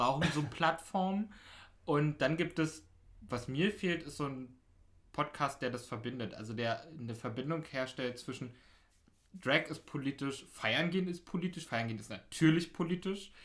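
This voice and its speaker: This man's voice is fairly high. His intonation shifts in a normal way. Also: very clean recording, silent background. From Berlin (Pankow). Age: 20s. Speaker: podcast host, local politician, DJ. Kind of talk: casual interview chat. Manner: fast.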